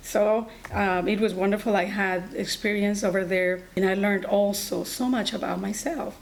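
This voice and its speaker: A woman with a Colombian accent talks at a moderate pace, her intonation fairly even. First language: Spanish. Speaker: allied health instructor and nurse. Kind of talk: personal story talk.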